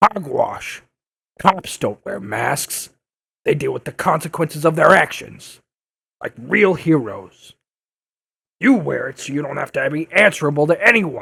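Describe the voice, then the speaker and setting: Someone speaks in a put-on character voice at a moderate pace. Long pauses come often. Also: man, fairly high pitch for a man. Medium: audio drama. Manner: brusque, aggressive.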